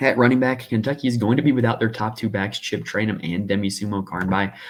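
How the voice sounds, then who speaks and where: A man with a fairly low voice. He talks very fast, with ordinary pitch variation. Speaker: fantasy sports analyst. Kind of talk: podcast-style sports picks breakdown.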